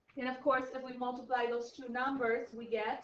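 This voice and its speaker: A woman talks at a fairly quick pace in a high pitch, with audible room echo. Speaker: high school math teacher. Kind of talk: classroom lecture.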